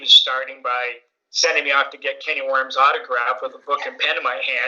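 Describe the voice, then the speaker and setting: In a Canadian accent, a man rattles along at a very fast pace. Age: 60s. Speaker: podcast co-host and superfan. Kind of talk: interview.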